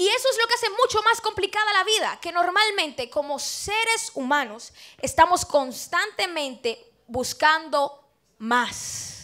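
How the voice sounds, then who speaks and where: Against a quiet background, a woman speaks in a raised, projected voice at an extremely high pitch, fairly slow and animated, with a bright, sharp tone and very wide pitch swings. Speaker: preacher. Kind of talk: sermon. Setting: church. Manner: conversational, rhetorical questions to congregation. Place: church. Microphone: handheld.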